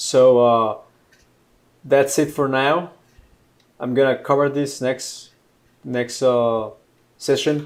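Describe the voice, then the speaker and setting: A man with a Mexican accent speaks at a very slow pace in a fairly high pitch, his flat, monotone delivery broken by long, frequent pauses. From Mexico, Monterrey. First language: Spanish. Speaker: software engineer teaching programming. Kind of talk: live-streamed coding tutorial. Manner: halting, many fillers and repetitions; casual.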